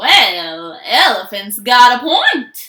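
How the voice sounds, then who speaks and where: A woman's high-pitched put-on character voice with very wide pitch swings. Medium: read story.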